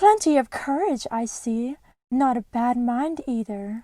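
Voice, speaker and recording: Using a put-on character voice pitched high, a woman speaks at a fairly slow pace. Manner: musing, pondering.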